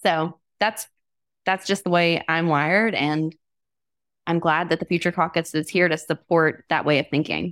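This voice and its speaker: Using an ordinary speaking voice, a woman with an American accent talks at a moderate pace in a fairly low pitch, with fairly even intonation and very even loudness. The sound is dry and close with no echo, on a very clean recording with a silent background. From US South (Alabama). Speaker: state legislator and occupational therapist. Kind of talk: podcast interview.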